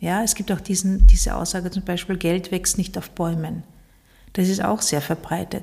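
A woman speaks at a moderate pace and a medium pitch. Her dark, mellow tone is somewhat breathy and her intonation flat and monotone. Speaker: podcast host and coach. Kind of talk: solo podcast monologue. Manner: hesitant with fillers.

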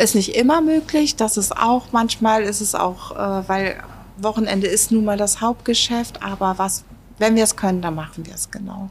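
A woman with a fairly high voice speaks at a moderate pace, with ordinary pitch variation and big swings in loudness. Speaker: restaurant owner. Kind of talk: casual interview. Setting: restaurant. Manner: hesitant, many filler words.

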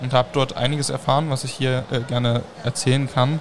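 Amid noticeable background noise, a man speaks at a medium pitch and moderate pace with fairly even intonation. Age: young. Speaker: youth fire brigade official. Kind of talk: live podcast interview. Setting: mobile podcast studio at a trade fair.

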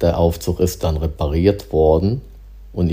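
A man's somewhat breathy, very deep voice with a dark, mellow tone and lively intonation. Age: 60s. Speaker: diplomatic mission employee. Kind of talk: casual chat. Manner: halting.

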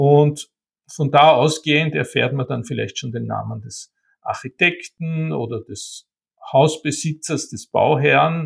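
A man talks very slowly with big swings in loudness, in a dry, close sound with no echo. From Austria, Vienna and Wienerwald. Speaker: art historian and bookseller. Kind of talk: interview.

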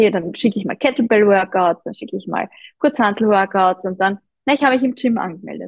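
A woman's somewhat breathy voice, fairly high in pitch, at a moderate pace with ordinary pitch variation. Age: 30s. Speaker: running coach and personal trainer. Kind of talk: interview.

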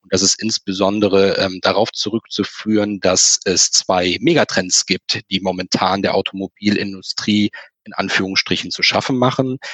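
At a moderate pace, a man speaks with fairly even intonation in a dry, close sound with no echo. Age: 30s. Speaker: finance blogger. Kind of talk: casual chat.

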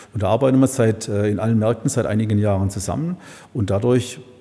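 Somewhat breathy, a man speaks in a fairly low pitch with a dark, mellow tone. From Heilbronn area, Baden-Württemberg. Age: 50s. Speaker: supermarket owner. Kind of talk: casual interview. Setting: event room above a supermarket. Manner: hesitant, many filler sounds.

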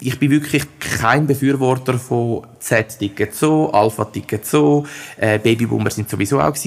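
An unremarkable speaking voice, this man talks at a moderate pace with medium pitch and ordinary pitch variation. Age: 30s. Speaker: head of recruiting and employer branding. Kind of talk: interview.

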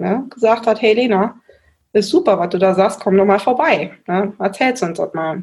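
A somewhat breathy voice with ordinary pitch variation. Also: woman. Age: 20s. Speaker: volunteer mayor. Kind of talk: interview.

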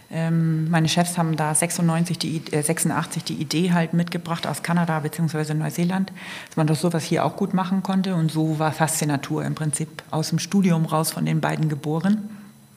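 Against noticeable background noise, a woman talks at a moderate pace in a monotone, flat intonation with hardly any pauses. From northern Germany, Kiel. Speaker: outdoor teambuilding event manager. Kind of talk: casual interview.

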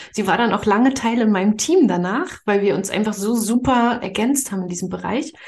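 Against noticeable background noise, a woman with a fairly high pitch talks at a fairly quick pace with hardly any pauses and ordinary pitch variation. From Mecklenburg-Vorpommern, eastern Germany. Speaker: spiritual money coach. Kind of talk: podcast interview.

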